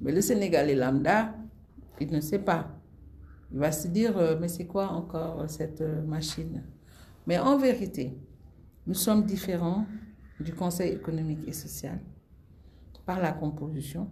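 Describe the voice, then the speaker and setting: A woman speaks fairly slowly in a fairly low voice, leaving long, frequent pauses. Room echo can be heard around her. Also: ordinary pitch variation. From Senegal. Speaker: former government minister. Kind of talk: interview. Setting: in person in Senegal.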